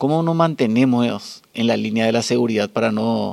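Ordinary pitch variation runs through a man's voice at a medium pitch. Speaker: podcast host and masters swimmer. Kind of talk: interview.

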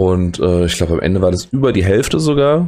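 A man speaking at a fairly quick pace with lively intonation. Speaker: educator and podcast host. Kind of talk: solo late-night podcast monologue. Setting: recording alone late at night. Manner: halting, hesitant.

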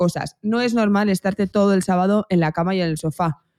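Speech comes at a moderate pace. The recording is very clean, and the background is silent. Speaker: nutrition and health podcast co-host. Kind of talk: casual chat.

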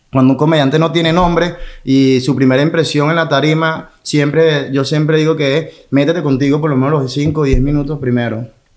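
A man with a fairly high pitch talks at a fairly quick pace with hardly any pauses. His intonation is monotone and flat, and the room echo is audible. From Venezuela, Maracay. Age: 30s. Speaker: comedian. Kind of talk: casual chat.

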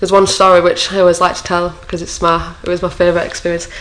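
A woman's medium-pitched, monotone delivery at a very fast pace over noticeable background noise. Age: 20s. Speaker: sports logistics coordinator. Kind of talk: casual chat.

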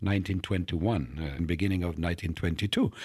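With an Italian accent, a man is speaking. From Italy, Turin. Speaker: mathematics professor. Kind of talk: interview. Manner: frequent fillers like you know and right.

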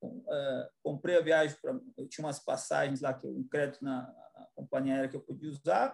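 This man talks at a moderate pace with hardly any pauses. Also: big swings in loudness. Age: 40s. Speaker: business executive. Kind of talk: interview.

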